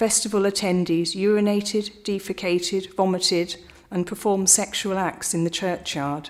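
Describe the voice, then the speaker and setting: A woman with an unremarkable speaking voice talks at a moderate pace and medium pitch, with fairly even intonation. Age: 60s. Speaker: objecting local resident. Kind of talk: prepared statement at council hearing. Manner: formal.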